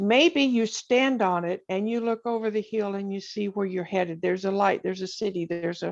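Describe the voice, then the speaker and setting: A woman with an unremarkable speaking voice talks at a moderate pace with ordinary pitch variation against a quiet background. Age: 60s. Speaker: poet and writer. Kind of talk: interview.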